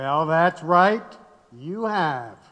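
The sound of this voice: Using a put-on character voice, a man speaks at a very slow pace with lively intonation. His pitch is fairly high and his tone fairly bright.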